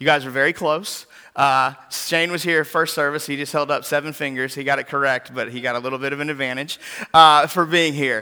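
This man has a fairly high pitch and a bright, sharp tone, speaking at a fairly quick pace in a very clean recording with a silent background. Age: 40s. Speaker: pastor. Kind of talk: sermon.

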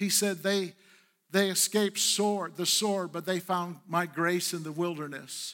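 Fairly slow and fairly even in intonation, a man's high-pitched voice has a bright, sharp tone in a very clean recording with a silent background. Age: 60s. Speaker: pastor. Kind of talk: Sunday sermon, pastor exhorting the congregation with call-and-response. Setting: church service with live congregation. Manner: earnest, conversational preaching with repetitions and self-corrections; coaxing the congregation for responses.

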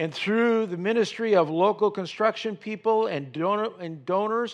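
A man talks with lively intonation at a moderate pace. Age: 70s. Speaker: retired senior pastor and guest speaker. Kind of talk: sermon. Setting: church.

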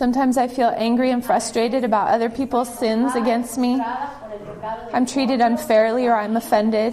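A woman's high voice at a fairly quick pace, with fairly even intonation, very even loudness, and noticeable background noise. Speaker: church member. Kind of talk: testimony.

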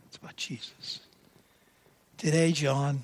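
An American man speaks in a fairly high, somewhat breathy voice with fairly even intonation. The recording is very clean, with a silent background. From New York City. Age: 70s. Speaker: lay preacher. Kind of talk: sermon. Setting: church.

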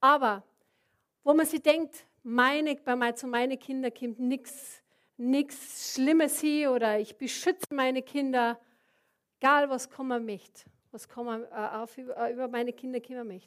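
In a Bavarian accent, a woman speaks at a fairly slow pace with high pitch and fairly even intonation, her loudness swinging widely. The recording is very clean, with a silent background. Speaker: preacher. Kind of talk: sermon.

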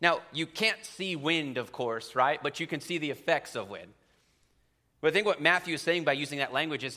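With an American accent, a man in a normal speaking voice talks at a fairly quick pace, his fairly high pitch varying in an ordinary way. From central Pennsylvania. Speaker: preacher. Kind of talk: sermon. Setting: church.

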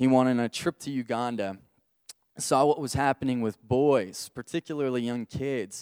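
In a very clean recording with a silent background and a dry, close sound free of echo, a man with an American accent uses an ordinary speaking voice at a moderate pace with fairly even intonation. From Texas. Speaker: church worship leader. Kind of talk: sermon. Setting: church service.

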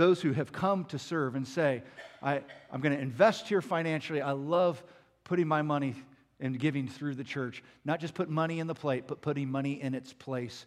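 In an unremarkable speaking voice, a man with a fairly high pitch speaks at a moderate pace with ordinary pitch variation. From Southern California, US. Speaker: pastor. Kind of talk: sermon.

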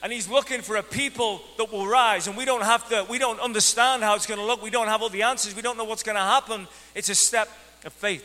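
A man with an Irish accent talks at a very fast pace in a raised, projected voice, high in pitch with ordinary pitch variation and big swings in loudness. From Ireland. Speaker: pastor. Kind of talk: energetic church sermon, lively evangelical preaching to a congregation. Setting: church service with live congregation. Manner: animated, conversational preaching, acting out excuses in a mock-whiny voice; repeated self-corrections and stammered restarts.

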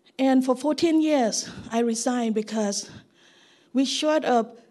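This woman has a high-pitched voice. She speaks at a fairly slow pace. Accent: Thai. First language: Thai. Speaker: missionary. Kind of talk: testimony. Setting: church service.

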